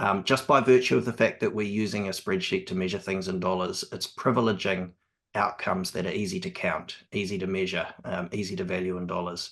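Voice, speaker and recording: Fairly even intonation and a fairly quick pace mark this voice in a New Zealand accent. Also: man. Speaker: evaluation specialist on cost benefit analysis. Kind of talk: panel conversation. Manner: hesitant, many ums.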